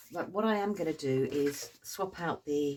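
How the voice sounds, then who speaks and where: A woman with a British accent. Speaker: craft tutor. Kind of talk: tutorial. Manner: hesitant fillers; slow, relaxed.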